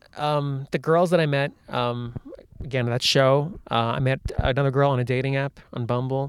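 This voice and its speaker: This man talks at a moderate pace in a medium pitch, with fairly even intonation and a normal speaking voice. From United States, Indian heritage. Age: 40s. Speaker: comedian. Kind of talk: casual chat.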